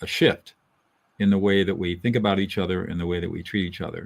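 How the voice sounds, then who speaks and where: A man with a Californian accent speaks at a fairly low pitch. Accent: General American (Californian). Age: 70s. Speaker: lawyer and mediator, author. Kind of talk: interview.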